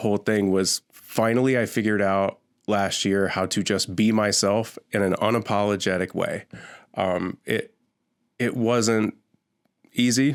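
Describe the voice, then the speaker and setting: On a very clean recording with a silent background, a man with a fairly low pitch speaks in a flat monotone at a moderate pace. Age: 30s. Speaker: podcast host and mortgage lender. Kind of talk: podcast intro monologue. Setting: home studio with dampening panels. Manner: loud.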